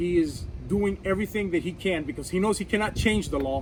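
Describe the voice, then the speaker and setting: There is noticeable background noise as a man talks at moderate speed. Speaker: firearms instructor and gun channel host. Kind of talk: political commentary vlog. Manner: halting, many fillers and repeats.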